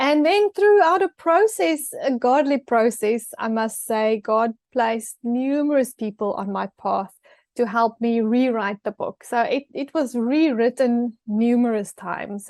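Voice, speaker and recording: In a dry, close sound with no echo and a quiet background, a woman speaks in a high pitch with ordinary pitch variation. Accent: South African. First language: Afrikaans. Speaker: author and TV personality. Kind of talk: interview. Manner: hesitant, many fillers.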